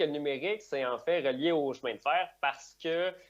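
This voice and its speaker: The speaker has a strong Quebec accent and lively intonation. The pace is fairly quick. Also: man. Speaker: digital operations director, conference speaker. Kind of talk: conference talk. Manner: fast.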